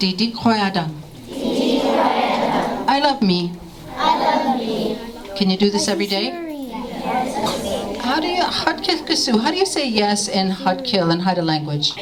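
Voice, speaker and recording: Noticeable background noise surrounds a woman speaking at a very slow pace with long, frequent pauses. Her pitch swings very widely. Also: fairly high pitch for a woman. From Haida Gwaii, Canada. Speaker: storyteller. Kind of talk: language lesson for children.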